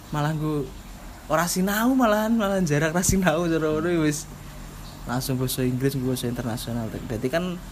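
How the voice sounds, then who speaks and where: Noticeable background noise and audible room echo fill the recording. A man with a fairly high pitch talks at a fairly quick pace with lively intonation. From East Java (Bojonegoro). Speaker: podcast co-host. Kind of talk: casual chat.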